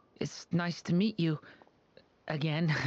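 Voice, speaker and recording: The pitch is middle. A put-on character voice does the talking. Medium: video game. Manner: soft-spoken, polite.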